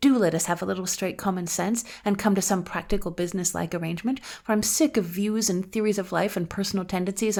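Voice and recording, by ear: Someone is reading aloud in a natural voice.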